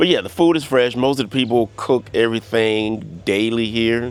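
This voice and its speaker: A man speaks at a medium pitch and a moderate pace in a relaxed tone. Background noise is noticeable. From US South (Louisiana and Florida). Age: 60s. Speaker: vlogger. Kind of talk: casual monologue vlog. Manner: relaxed, many fillers.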